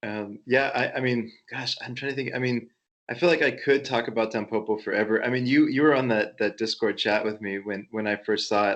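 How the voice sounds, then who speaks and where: A man with an American accent speaks in an ordinary speaking voice, with a medium pitch, fairly even intonation and a fairly quick pace. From United States. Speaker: podcast co-host. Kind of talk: casual chat.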